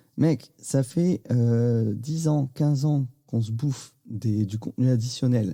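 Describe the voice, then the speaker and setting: Over a silent background on a very clean recording, a man speaks at a medium pitch with a dark, mellow, somewhat breathy tone and ordinary pitch variation. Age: 40s. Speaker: podcast host. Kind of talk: casual interview chat.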